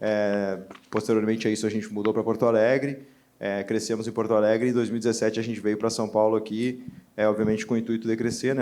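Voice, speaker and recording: In a gaúcho accent, the speaker moves at a fairly quick pace with monotone, flat intonation. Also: man. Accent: Brazilian interior accent (gaúcho). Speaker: entrepreneur, panelist. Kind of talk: panel discussion.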